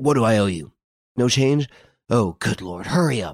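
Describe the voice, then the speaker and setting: In a strained, put-on character voice, a man speaks at a moderate pace with a medium pitch. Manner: urgent, panicked.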